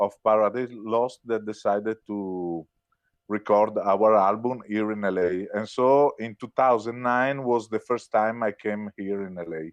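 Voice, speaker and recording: At a fairly slow pace, a man speaks with an Italian accent in a fairly low voice with ordinary pitch variation. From Italy. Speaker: rock musician. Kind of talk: interview. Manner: hesitant, many filler words.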